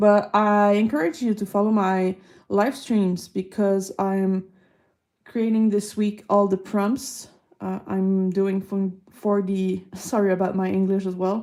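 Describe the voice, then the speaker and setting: Speaking at a very slow pace in a Quebec accent, a woman keeps a medium pitch and fairly even intonation, her tone dark and mellow. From Quebec, Canada. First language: French. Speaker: artist streamer. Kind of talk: live art stream chat. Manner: casual, unhurried.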